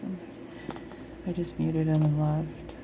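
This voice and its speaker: Soft-spoken and relaxed in tone, a woman talks at a fairly slow pace. Noticeable background noise runs underneath. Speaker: ASMR coloring video creator. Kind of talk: ASMR chat while coloring. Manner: quiet, relaxed ASMR-style talk.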